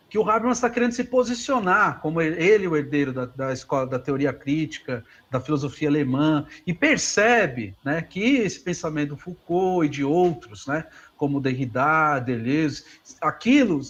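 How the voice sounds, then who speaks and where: Over a quiet background, a man with a fairly high pitch talks at a moderate pace, his pitch swinging very widely. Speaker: philosophy professor. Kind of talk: lecture Q&A answer. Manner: halting, many fillers.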